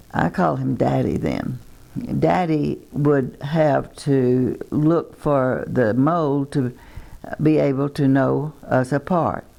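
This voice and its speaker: A woman speaks with a Texan accent at a very slow pace. Her loudness stays very even. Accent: Texan Southern US. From Texas. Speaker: twin sister telling life story. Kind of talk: reminiscing, reading memoir aloud. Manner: halting.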